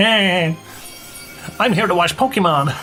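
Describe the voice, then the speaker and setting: Over clear background music, a man puts on a nasal character voice, high in pitch and fairly slow. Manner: goofy.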